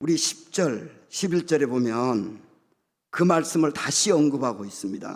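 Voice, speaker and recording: A man with an unremarkable speaking voice, lively intonation and a fairly slow pace. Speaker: guest pastor. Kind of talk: sermon.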